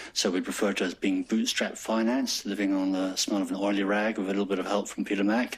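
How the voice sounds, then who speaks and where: A man's fairly low voice with a slight English accent, very fast pace, monotone, flat intonation and very even loudness. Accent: slightly pompous English. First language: French. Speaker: hospital executive. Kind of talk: staff presentation; casual chat. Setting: staff forum with audience.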